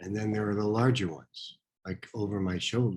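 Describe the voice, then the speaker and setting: A soft-spoken man talks at a very deep, low pitch. His voice is somewhat breathy, with fairly even intonation. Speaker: painter and art teacher. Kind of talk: casual self-introduction.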